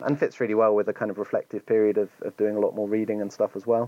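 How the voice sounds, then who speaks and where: A man with an English accent, a medium pitch, and a very fast pace. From England. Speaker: editor and activist. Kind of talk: interview conversation.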